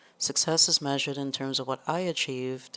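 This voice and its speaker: Recorded very cleanly against a silent background, a woman with a Trinidadian accent speaks at a very deep, low pitch with ordinary pitch variation. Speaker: exam tutor. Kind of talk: tutorial. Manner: casual, hesitant with fillers.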